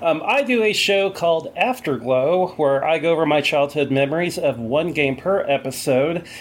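A man with an unremarkable speaking voice and fairly high pitch talks at a moderate pace, with lively intonation, very even loudness and hardly any pauses. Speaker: podcast host guest. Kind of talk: casual chat.

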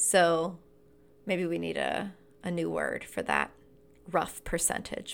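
Recorded very cleanly with a silent background, this clip features a woman. She speaks at a fairly slow pace. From US South, rural North Carolina. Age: 30s. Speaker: life coach and podcast host. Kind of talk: casual monologue.

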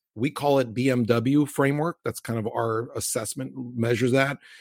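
A man with an American accent and an unremarkable speaking voice, medium in pitch, at a moderate pace with ordinary pitch variation, in a dry, close sound with no echo. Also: hardly any pauses. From US Mid-Atlantic (Maryland and Virginia), Cuban American family. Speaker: tech company CEO. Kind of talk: interview.

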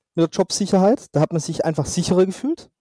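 Dry and close with no echo, a man's voice has a dark, mellow tone and ordinary pitch variation. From southwest Germany, Swabia (Albstadt near Reutlingen). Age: 30s. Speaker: magician. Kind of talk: casual interview.

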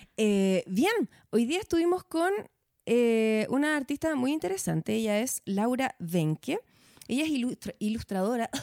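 Fairly slow and very even in loudness, a woman speaks with a fairly high pitch in very wide swings. The sound is dry and close with no echo. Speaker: podcast host. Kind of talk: casual interview chat.

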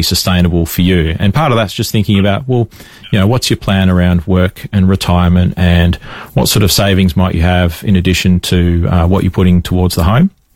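A man with a low pitch and slightly mellow tone talks at a fairly quick pace with few pauses and fairly even intonation.

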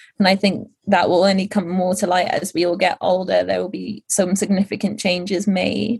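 A woman's medium-pitched voice with vocal fry, fairly even intonation and a moderate pace. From Netherlands. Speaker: social media marketer. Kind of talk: interview.

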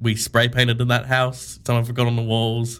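The man keeps a moderate pace. His voice sits at a medium pitch. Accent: Australian. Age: 20s. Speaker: e-commerce co-founder. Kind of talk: casual interview.

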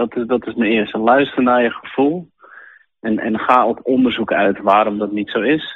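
This is a man's voice at a medium pitch. His intonation stays fairly even. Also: moderate pace. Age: 30s. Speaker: sailmaker, business owner. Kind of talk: interview testimony. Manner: halting.

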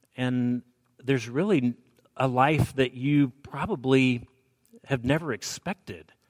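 A man with an American accent at a medium pitch, ordinary pitch variation, fairly slow pace and long, frequent pauses, in a dry, close sound with no echo. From Alabama, US South. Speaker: preacher giving a sermon. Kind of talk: sermon. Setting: church with congregation.

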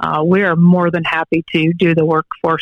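Monotone, flat intonation in a Midwestern American accent at a moderate pace, with a dry, close sound with no echo. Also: woman. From Northwest Ohio, Allen County. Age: young. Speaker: agricultural business owner. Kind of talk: radio interview.

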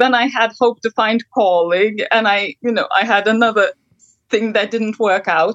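A woman with an unremarkable speaking voice talks at a moderate pace, her pitch fairly high. Her loudness stays very even and her intonation fairly even. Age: 30s. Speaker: counseling guest. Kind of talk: counseling session.

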